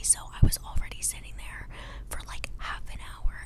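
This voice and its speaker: Noticeable background noise sits behind a woman who whispers. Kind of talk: whisper ramble storytime, casual talk to camera. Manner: whispered, chatty.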